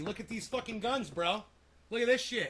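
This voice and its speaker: A man speaks loudly in a high pitch at a moderate pace. His tone is animated. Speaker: livestreamer. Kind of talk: casual livestream chat.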